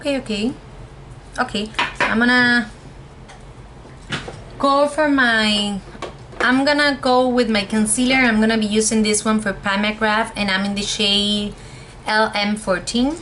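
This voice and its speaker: At a fairly slow pace, a woman speaks with fairly even intonation and long, frequent pauses. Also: fairly high pitch for a woman. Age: 20s. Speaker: cosmetologist, beauty reviewer. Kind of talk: casual talk to camera, product review.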